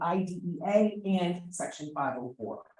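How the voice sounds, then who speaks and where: A woman with an American accent speaks at a very slow pace and a fairly low pitch. Audible room echo surrounds her voice. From New Jersey, South Jersey. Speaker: special education advocate. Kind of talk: conference presentation.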